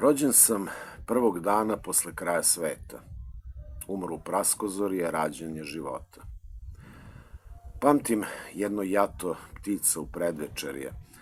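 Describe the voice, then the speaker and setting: With a Serbian accent, a man speaks at a moderate pace in a very deep, low voice, his lively intonation broken by long, frequent pauses. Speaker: librarian and poet. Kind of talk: poetry reading. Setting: school library.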